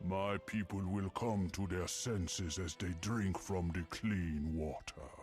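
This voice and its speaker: Putting on a character voice, a man speaks with a very deep, low pitch and a solemn tone at a fairly slow pace, with hardly any pauses, against clear background noise. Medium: video game. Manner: regal, solemn.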